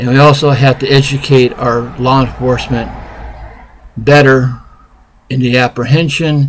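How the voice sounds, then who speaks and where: Flat, monotone intonation marks a man speaking at medium pitch. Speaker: independent presidential candidate vlogger. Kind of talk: political opinion monologue. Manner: halting, unpolished.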